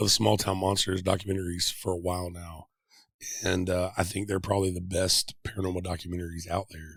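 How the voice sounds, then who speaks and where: Over a very clean recording with a silent background, a man with an American accent and a very deep, low pitch talks at a very fast pace, somewhat breathy. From Middle Tennessee. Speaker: podcast host. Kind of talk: interview.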